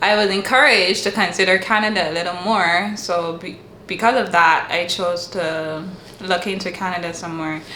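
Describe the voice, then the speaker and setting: At a moderate pace, a woman with a medium-pitched voice speaks amid noticeable background noise and audible room echo. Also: fairly even intonation. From Barbados. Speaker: international student. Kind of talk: casual interview chat.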